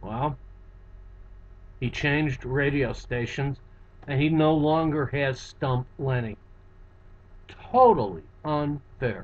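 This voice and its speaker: A man speaks at a very slow pace, with long, frequent pauses. His pitch is fairly high, with ordinary variation. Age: 60s. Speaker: psychotherapist and hypnotist. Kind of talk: webcam monologue. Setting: office. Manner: halting.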